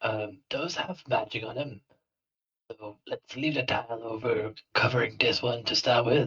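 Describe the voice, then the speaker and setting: At a moderate pace, a man puts on a raspy character voice with a medium pitch. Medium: actual play.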